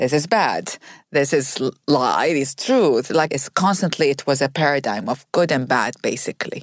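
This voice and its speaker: On a very clean recording with a silent background, a woman with an Arabic accent speaks at a moderate pace in a very deep, low pitch with lively intonation. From Iraq. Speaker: author. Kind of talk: interview conversation.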